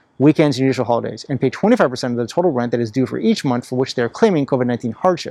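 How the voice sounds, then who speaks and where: With a dark, mellow tone and lively intonation, a man talks in a dry, close sound with no echo. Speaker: volunteer attorney. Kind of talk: legal explainer tutorial. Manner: fast.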